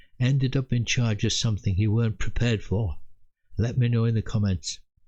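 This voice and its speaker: This voice is somewhat breathy, with ordinary pitch variation and a moderate pace. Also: man, quiet background. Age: 80s+. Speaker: military veteran storyteller. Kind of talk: personal storytelling.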